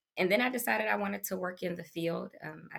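Speaking very fast with an American accent, a woman's voice shows vocal fry. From Washington D.C. area. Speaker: pharmaceutical medical affairs professional. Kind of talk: interview.

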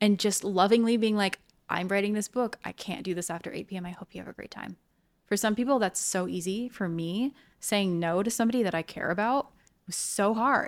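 A woman has an unremarkable speaking voice at medium pitch, with ordinary pitch variation and a fairly quick pace. Her loudness swings widely on a very clean recording with a silent background. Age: 30s. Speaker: writer and marketing specialist. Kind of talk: casual chat.

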